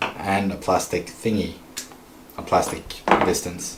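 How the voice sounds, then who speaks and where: Audible room echo surrounds a man with a Swedish accent who speaks at a fairly low pitch and a fairly slow pace. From Sweden. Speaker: RC hobby streamer. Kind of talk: casual livestream tutorial while repairing. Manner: halting, with fillers.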